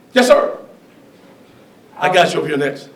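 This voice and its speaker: Moderate-paced speech from a man, amid noticeable background noise and audible room echo. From Alabama. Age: 60s. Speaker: speaker on history and race. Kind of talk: public talk with Q&A.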